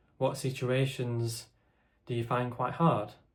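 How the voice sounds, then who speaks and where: A man speaks quietly in a somewhat breathy voice, with monotone, flat intonation and audible room echo. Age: 20s. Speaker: content creator with a stammer. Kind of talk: casual chat to camera. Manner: halting.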